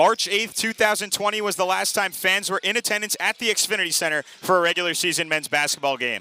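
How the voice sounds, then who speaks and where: Speaking in a raised, projected voice at a very fast pace with hardly any pauses, a man with a high pitch and ordinary pitch variation has an energetic tone, captured in a dry, close sound with no echo. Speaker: TV sports play-by-play announcer. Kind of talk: broadcast open and pregame welcome. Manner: fast, energetic.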